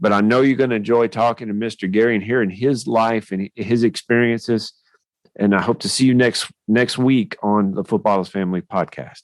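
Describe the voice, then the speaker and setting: Here a man with a Tennessee accent talks at a fairly quick pace. The sound is dry and close with no echo. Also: medium pitch for a man, ordinary pitch variation. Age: younger than 56. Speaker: podcast host. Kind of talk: podcast interview.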